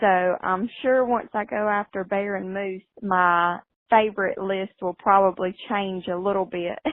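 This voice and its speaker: This woman speaks in a strong Southern US accent. Her pace is very slow and her intonation fairly even. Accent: strong Southern American. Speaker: hunter and farmer, interview guest. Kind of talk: radio interview answers.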